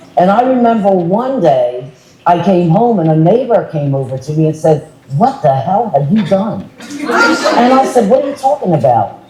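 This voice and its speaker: Very wide pitch swings from a woman at medium pitch, with noticeable background noise and audible room echo. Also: moderate pace. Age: 70s. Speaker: panelist, former state commissioner. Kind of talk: panel discussion.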